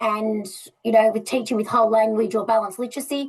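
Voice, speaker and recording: At a very fast pace, a woman talks with a fairly high pitch. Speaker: literacy educator. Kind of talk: presentation.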